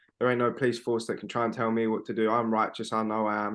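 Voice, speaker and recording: Against a quiet background, a man with a London accent talks very fast at a fairly low pitch, his intonation flat and monotone. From South London. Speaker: comedy podcast co-host. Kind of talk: casual chat.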